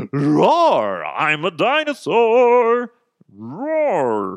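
This is a put-on character voice with fairly high pitch. It bellows. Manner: roaring, playful.

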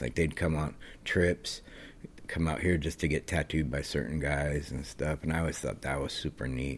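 At a moderate pace, a man speaks with vocal fry. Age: 50s. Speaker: professional skateboarder. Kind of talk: casual chat.

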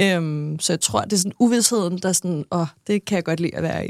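At a fairly quick pace, a woman with an unremarkable speaking voice talks at a medium pitch with ordinary pitch variation, in a dry, close sound with no echo. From Denmark, Næstved (Zealand). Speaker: TV personality. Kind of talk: interview. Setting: studio.

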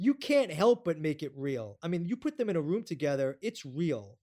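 A man's high voice with a dark, mellow tone, very wide pitch swings and a moderate pace, in an American accent. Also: very clean recording, silent background. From New York. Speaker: TV producer and director. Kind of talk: interview.

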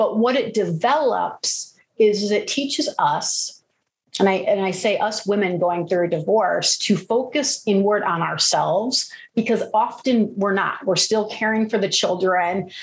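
Somewhat breathy and at a medium pitch, a woman speaks with lively intonation and very even loudness. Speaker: yoga and meditation teacher. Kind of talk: interview conversation. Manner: animated, active-minded.

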